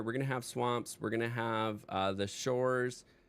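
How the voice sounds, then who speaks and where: A man is speaking. Music plays in the background. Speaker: game streamer. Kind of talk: live stream commentary. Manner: casual with frequent fillers.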